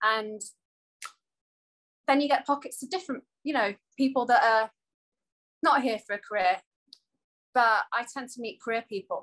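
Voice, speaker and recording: A woman with an East Midlands accent talks at a fairly quick pace in a fairly high pitch, with ordinary pitch variation and a dry, close sound with no echo. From England, Coalville (East Midlands). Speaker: talk show co-host. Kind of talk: casual panel chat.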